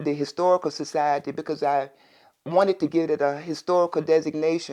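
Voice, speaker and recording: A woman speaks at a fairly quick pace in a very deep, low pitch, her intonation monotone and flat. The background is quiet. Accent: American. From Lynchburg, Virginia (US South). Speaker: local resident sharing community memories. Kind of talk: interview. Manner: conversational, with hesitations.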